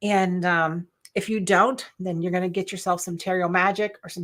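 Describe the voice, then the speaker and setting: Bright and sharp in tone, a woman's medium-pitched voice moves at a fairly slow pace with fairly even intonation, captured in a very clean recording against a silent background. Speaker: sewing and quilting instructor. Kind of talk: live stream tutorial.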